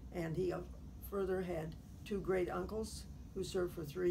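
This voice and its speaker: A woman with a Midwestern American accent talks at a moderate pace, with audible room echo. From US Midwest, Effingham, Illinois. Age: 80s+. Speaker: retired teacher. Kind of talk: oral history interview. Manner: formal.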